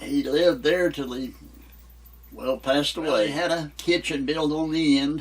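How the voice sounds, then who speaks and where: Here a man speaks with an Appalachian accent at a fairly high pitch. His pace is moderate and his pitch variation ordinary. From West Virginia. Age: 90s. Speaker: elderly local resident. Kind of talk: interview.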